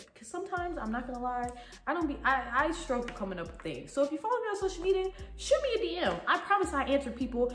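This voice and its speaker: With music in the background and audible room echo, a woman talks at a very fast pace and high pitch. Her pitch swings very widely, and her loudness swings a lot too. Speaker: YouTuber. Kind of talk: casual vlog talk to camera.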